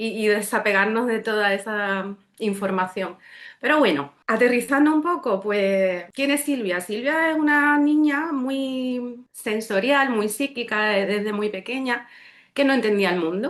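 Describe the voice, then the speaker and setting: In an Andalusian accent, a woman speaks at a fairly slow pace with lively intonation and a fairly high pitch. The background is quiet. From Seville, Andalusia, Spain. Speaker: medium and energy therapist. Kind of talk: casual chat.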